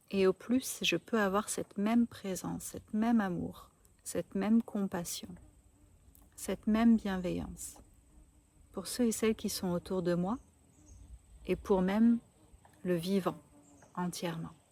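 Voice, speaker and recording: A woman at a medium pitch, somewhat breathy, with a dark, mellow tone and a calm, gentle tone, at a fairly slow pace with long, frequent pauses. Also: fairly even intonation, dry, close sound with no echo. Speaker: spiritual coach. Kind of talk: spiritual talk to camera.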